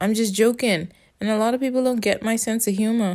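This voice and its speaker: A woman with a Bahamian accent at a moderate pace, on a very clean recording with a silent background. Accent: Bahamian Caribbean English. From Bahamas. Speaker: solo podcaster. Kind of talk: casual monologue rant. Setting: at home at night. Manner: rambling, profane.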